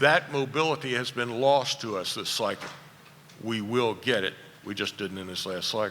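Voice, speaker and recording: The speaker uses a Southern US accent at a moderate pace, with ordinary pitch variation. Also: man, medium pitch for a man. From US South, rural Virginia. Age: 70s. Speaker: furniture industry analyst. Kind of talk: conference keynote speech.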